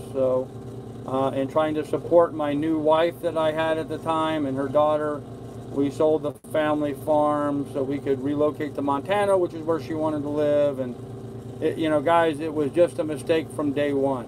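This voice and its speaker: A man with a fairly high pitch talks at a moderate pace. His intonation is monotone and flat, with noticeable background noise behind him. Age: 60s. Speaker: sailing vlogger. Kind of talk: live stream chat reading viewer comments. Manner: casual, halting.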